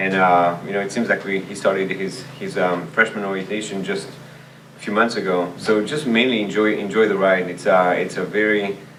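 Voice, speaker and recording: In a room with audible echo and noticeable background noise, a man with a French accent and fairly low pitch speaks at a moderate pace with fairly even intonation. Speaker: language teacher and department chair. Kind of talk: interview. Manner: halting, many fillers and repeats.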